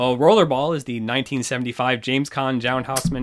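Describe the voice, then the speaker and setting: A man with an ordinary speaking voice talks fairly quickly, his medium pitch showing ordinary variation. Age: 40s. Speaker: mathematician and game show consultant. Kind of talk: casual chat.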